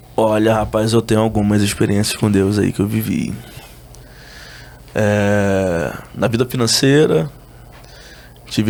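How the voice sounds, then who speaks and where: Over noticeable background noise, a man speaks very slowly at a fairly low pitch, with very even loudness, fairly even intonation and long, frequent pauses. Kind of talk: casual interview chat.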